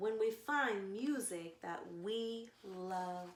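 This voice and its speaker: In a put-on character voice, a female-sounding speaker talks very slowly at a fairly high pitch. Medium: read story.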